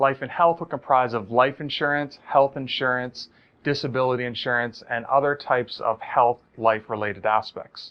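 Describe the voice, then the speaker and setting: A man with an American accent talks at a medium pitch, his intonation fairly even. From Maryland. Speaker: insurance instructor. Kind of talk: lecture. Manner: fast.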